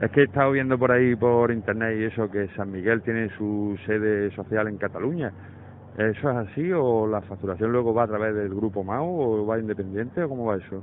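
A man with a fairly low pitch talks at a fairly quick pace with ordinary pitch variation in an ordinary speaking voice, recorded with a dry sound with no echo and light background noise. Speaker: caller. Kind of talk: complaint phone call. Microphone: phone line.

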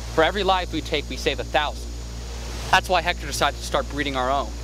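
Over noticeable background noise, a man speaks at a very fast pace in a dry sound with no echo. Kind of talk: acted dramatic dialogue. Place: forest.

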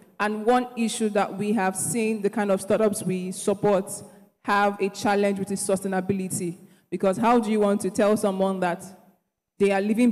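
A woman at medium pitch speaks at a moderate pace in a dark, mellow tone. Her intonation is monotone and flat, over a quiet background. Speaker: accelerator regional head; panelist. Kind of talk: panel discussion. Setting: stage with audience. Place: stage. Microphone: handheld.

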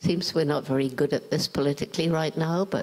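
A woman with a southern English accent speaks with ordinary pitch variation. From England, London. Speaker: primatologist. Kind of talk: interview answer. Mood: calm, earnest, concerned. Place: stage. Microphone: handheld.

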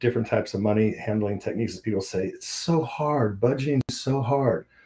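A man's voice with a dark, mellow tone and ordinary pitch variation. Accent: General American. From US Mountain West. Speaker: ministry founder and author. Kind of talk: casual interview. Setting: remote studio call.

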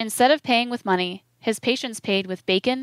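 The reading voice is unforced, and its pitch moves in an ordinary way. Nothing intrudes from the background, which stays quiet.

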